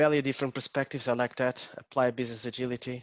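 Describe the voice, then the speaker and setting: A man's very fast, flat monotone at medium pitch, in a strong Portuguese accent. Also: dry, close sound with no echo. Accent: Portuguese accent, still strong. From Portugal. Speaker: agile coach. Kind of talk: interactive talk. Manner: hesitant, many fillers.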